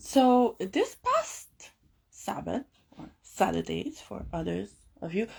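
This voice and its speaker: A woman speaks in a calm tone. The recording is very clean, with a silent background. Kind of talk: casual vlog monologue. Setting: home closet, filming to camera.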